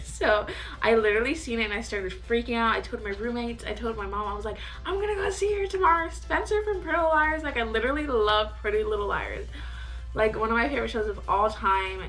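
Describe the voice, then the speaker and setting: Over faint background music, a woman talks at a very fast pace. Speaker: vlogger. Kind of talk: casual storytime vlog chat. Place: home room. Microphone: camera far.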